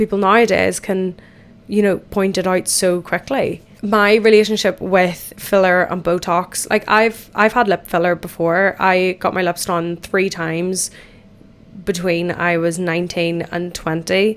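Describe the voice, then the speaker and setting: Her intonation monotone and flat, a woman with an Irish accent speaks at a fairly slow pace and a medium pitch. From Ireland. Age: 20s. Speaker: podcast host. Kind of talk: casual chat. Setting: in the bath.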